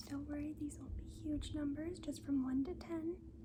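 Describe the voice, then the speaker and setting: A gentle tone, soft-spoken throughout. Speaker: school nurse (role play). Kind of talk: ASMR school nurse role play, soft-spoken. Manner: soft-spoken, gentle.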